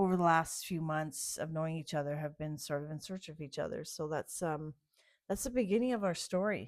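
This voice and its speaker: The recording is very clean, with a silent background. A woman speaks with a very deep, low pitch. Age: 60s. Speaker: author. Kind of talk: casual chat. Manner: halting.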